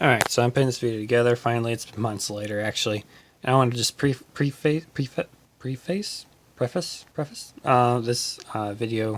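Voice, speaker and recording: Quiet and medium in pitch, a man talks at a moderate pace. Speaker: car hobbyist doing own repair. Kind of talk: casual vlog narration. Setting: home garage. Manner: monotone; quiet, subdued.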